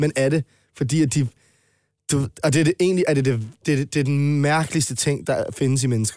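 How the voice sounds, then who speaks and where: A man's fairly high voice at a moderate pace, with fairly even intonation, very even loudness, long, frequent pauses, and a dry, close sound with no echo. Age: 20s. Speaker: rapper. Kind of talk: casual chat.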